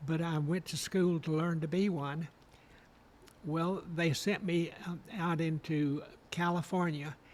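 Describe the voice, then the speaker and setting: A man with a high pitch, monotone, flat intonation, and a fairly slow pace. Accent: Alabama. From Alabama, Guntersville. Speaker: retired costume designer and professor. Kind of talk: interview, personal reminiscence.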